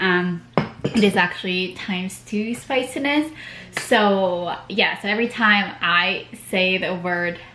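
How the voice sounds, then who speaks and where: Against noticeable background noise, a woman speaks at medium pitch and a very slow pace with ordinary pitch variation. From Philippines. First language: Tagalog. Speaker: beauty vlogger. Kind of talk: tutorial. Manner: casual, code-switching Tagalog and English.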